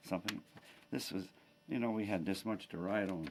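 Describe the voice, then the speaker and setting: This man has a fairly low pitch with vocal fry and a lively intonation. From Pennsylvania, US. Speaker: war veteran. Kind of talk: oral history interview. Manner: halting.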